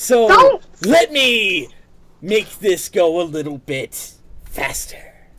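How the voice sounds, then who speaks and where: A man's put-on character voice, high-pitched and menacing, at a very slow pace. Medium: actual play. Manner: scornful, menacing.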